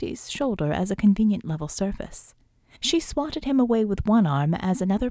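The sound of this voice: Reading done in an unforced voice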